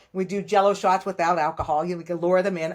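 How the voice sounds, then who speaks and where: A woman's voice at a medium pitch. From Pittsburgh, Pennsylvania. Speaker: sports dietitian. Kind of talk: podcast interview. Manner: animated.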